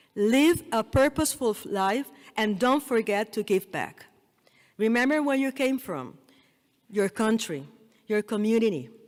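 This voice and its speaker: A woman with a Spanish accent, fairly high in pitch, with lively intonation and a moderate pace. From Puerto Rico. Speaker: dental school dean, keynote speaker. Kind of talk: commencement speech. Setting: stage with audience.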